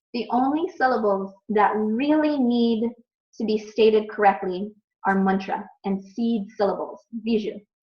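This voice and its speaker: With an American accent, a woman talks at a very slow pace and a fairly high pitch. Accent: American accent when saying Sanskrit. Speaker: ayurveda teacher. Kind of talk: online class review quiz.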